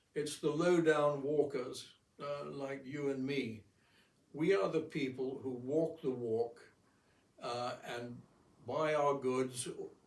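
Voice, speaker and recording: A man with a fairly high voice speaks very slowly, keeping his intonation fairly even, with long, frequent pauses and audible room echo. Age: 80s+. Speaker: amateur painter and philosopher. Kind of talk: casual monologue. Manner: halting.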